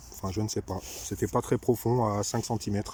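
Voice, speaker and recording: In a dark, mellow tone with vocal fry, a man speaks at a moderate pace, his fairly low pitch held to fairly even intonation. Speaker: metal detecting vlogger. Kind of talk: casual outdoor vlog commentary. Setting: outdoors.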